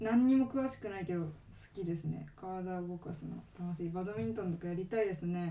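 A woman speaks fairly quickly with lively intonation and a dark, mellow tone. There is audible echo in the room. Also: fairly low pitch for a woman. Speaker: podcast co-host. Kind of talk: casual chat. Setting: recording at home.

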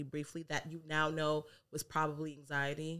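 A woman speaks in an animated tone. Her pitch is very deep and low. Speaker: podcast co-host. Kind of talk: casual banter between friends. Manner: animated, joking, profane.

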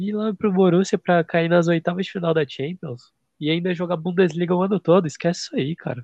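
A man with a high pitch talks at a fairly quick pace, barely pausing, his intonation fairly even. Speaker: football podcast co-host. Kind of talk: casual chat.

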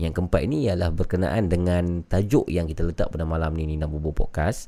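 This man has a very deep, low pitch and a dark, mellow tone, and his pitch swings very widely at a moderate pace. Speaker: horror podcast host taking phone calls. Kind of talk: live call-in show hosting.

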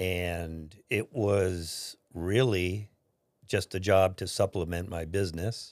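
On a very clean recording with a silent background, a man speaks very slowly at a very deep, low pitch with fairly even intonation. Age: 60s. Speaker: retired father recounting life story. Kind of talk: family oral history interview.

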